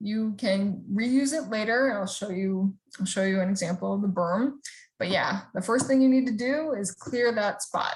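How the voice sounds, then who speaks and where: Her fairly high, somewhat breathy voice carries lively intonation as this woman speaks. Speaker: rain garden presenter. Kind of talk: webinar presentation. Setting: online video call.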